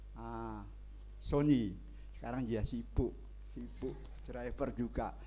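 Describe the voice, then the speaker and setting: A man speaks very slowly, with audible room echo. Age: 70s. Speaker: church member giving testimony. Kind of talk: testimony. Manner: halting.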